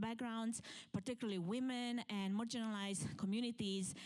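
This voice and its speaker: A woman is speaking with a Romanian accent. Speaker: event planner and keynote speaker. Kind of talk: conference talk. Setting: stage with live audience.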